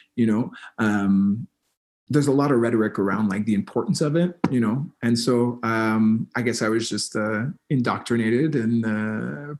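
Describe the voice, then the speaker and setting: An ordinary speaking voice, a man with a Canadian accent and medium pitch at a moderate pace. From New Brunswick, Canada (First Nation). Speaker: musician. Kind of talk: interview conversation. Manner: many fillers and repetitions.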